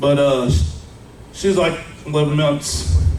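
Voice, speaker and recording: Amid noticeable background noise and audible room echo, a man speaks fairly slowly at a medium pitch. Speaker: life insurance broker. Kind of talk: seminar talk. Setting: live audience without mic. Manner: loud; casual, filler-heavy. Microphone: no microphone.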